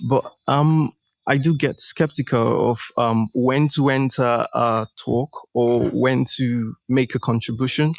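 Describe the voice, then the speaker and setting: At a very slow pace, the speaker keeps a fairly even intonation and very even loudness, recorded with a dry, close sound and no echo. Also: man, medium pitch for a man. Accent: Nigerian. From Nigeria. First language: a Nigerian language, English second. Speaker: startup founder, coaching participant. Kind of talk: live coaching session. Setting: live audio stream. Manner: halting, many fillers.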